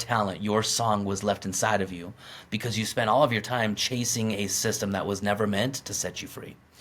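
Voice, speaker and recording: Energetic in tone, a man speaks at a fairly quick pace. His pitch sits fairly low. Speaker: podcast host. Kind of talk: motivational podcast monologue. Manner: energetic, emphatic.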